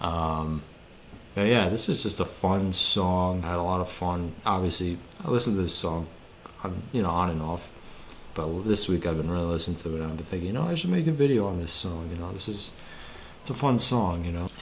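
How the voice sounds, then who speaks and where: Speaking at a fairly quick pace, a man with a very deep, low pitch and ordinary pitch variation is heard with audible room echo and noticeable background noise. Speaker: music commentary youtuber. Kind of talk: casual video commentary. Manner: casual, many fillers and repetitions.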